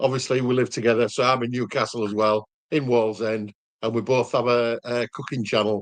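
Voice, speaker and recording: In a Yorkshire accent, a man speaks at a fairly quick pace. His intonation is monotone and flat. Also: medium pitch for a man, dry, close sound with no echo. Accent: Yorkshire (Hull). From Hull, Yorkshire. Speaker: cooking youtuber. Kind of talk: casual chat.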